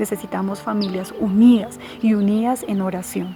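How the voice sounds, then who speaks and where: Over music in the background, a woman with a Bogotá Colombian accent talks at a fairly high pitch. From Colombia, Bogotá. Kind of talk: religious teaching talk.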